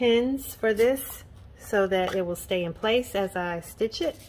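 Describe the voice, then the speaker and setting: Light background noise sits under a woman's fairly high voice, which moves at a fairly slow pace with ordinary pitch variation. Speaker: sewing pattern designer. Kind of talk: tutorial. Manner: casual.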